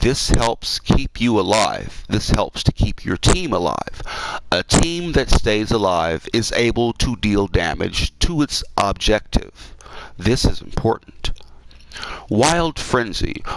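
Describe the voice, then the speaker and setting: Noticeable background noise sits under speech delivered at a very slow pace. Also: man. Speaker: gamer tutorial creator. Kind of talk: tutorial. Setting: live gameplay stream. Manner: casual, halting with self-corrections.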